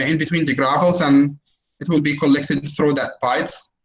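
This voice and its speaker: The man's pitch is fairly high. He talks at a fairly quick pace with audible room echo. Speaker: university lecturer in environmental engineering. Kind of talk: online lecture with Q&A. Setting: video call webinar. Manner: hesitant, many fillers.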